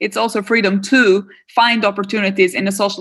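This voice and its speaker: A woman with an Albanian accent at a medium pitch, speaking at a fairly quick pace, on a very clean recording with a silent background. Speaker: political theory professor. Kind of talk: interview.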